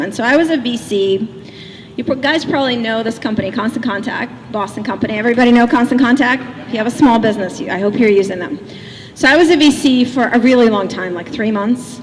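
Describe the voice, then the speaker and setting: Over noticeable background noise, a woman with a fairly high pitch talks very fast with lively intonation. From Russia (Leningrad). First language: Russian. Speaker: motivational speaker. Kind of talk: keynote speech. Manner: animated.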